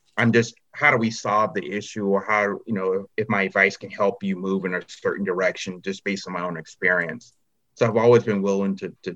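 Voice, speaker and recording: A man with an American accent talks at a fairly quick pace, his fairly low pitch carrying a bright, sharp tone. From US South, North Carolina. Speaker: senior manager. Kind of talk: panel discussion.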